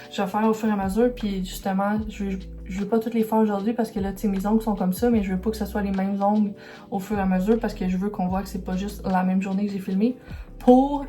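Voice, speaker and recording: Music plays behind a very fast, flat, monotone delivery with a Quebec accent. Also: woman, medium pitch for a woman. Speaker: illustrator and vlogger. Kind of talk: vlog talking to camera. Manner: hesitant, many fillers.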